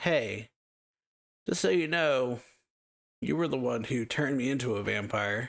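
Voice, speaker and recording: A man's raspy, put-on character voice at medium pitch, moderate pace, with long, frequent pauses. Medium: solo performance. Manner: sardonic, exasperated.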